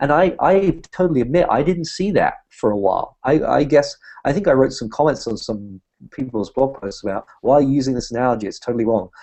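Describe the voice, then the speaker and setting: A man with a British accent speaks at a fairly quick pace in a fairly high pitch with lively intonation. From Britain. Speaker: humanist activist and speaker. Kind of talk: interview conversation.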